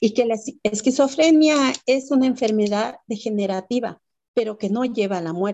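Lively intonation at a moderate pace. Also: woman. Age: 60s. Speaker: author and mother caregiver. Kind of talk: interview testimony.

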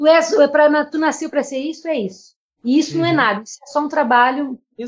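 Her loudness rising and falling in big swings, a woman talks at a very fast pace. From Brazil, Rio Grande do Sul. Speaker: podcast co-host, theatre artist. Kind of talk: casual chat.

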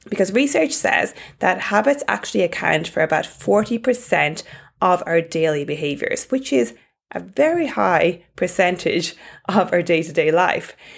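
In an Irish accent, a woman speaks at a moderate pace. Her fairly low voice moves in very wide pitch swings. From Ireland. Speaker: fitness coach podcast host.

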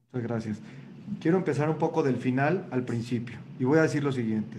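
A man of medium pitch talks with ordinary pitch variation, and audible room echo surrounds his voice. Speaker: moderator. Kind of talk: interview.

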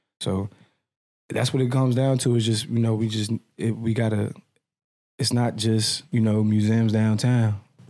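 A man with an American accent and a dark, mellow tone speaks at a moderate pace in very even loudness, with long, frequent pauses. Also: medium pitch for a man. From Washington, D.C. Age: 20s. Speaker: clothing brand founder. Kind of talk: casual interview. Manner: casual, animated.

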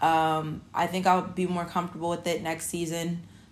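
A woman's fairly low-pitched voice with audible room echo. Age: 30s. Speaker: podcast host. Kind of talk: casual monologue. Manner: casual, many filler words.

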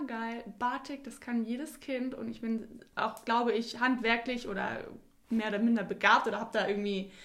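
Amid audible room echo, a woman speaks at a moderate pace and fairly high pitch with fairly even intonation. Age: 20s. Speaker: clothing label founder. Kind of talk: interview.

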